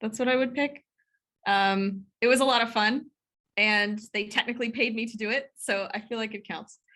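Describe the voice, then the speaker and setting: A woman speaks loudly at a moderate pace, her fairly high voice bright and sharp in tone, with ordinary pitch variation. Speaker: computational biochemistry professor. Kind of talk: interview.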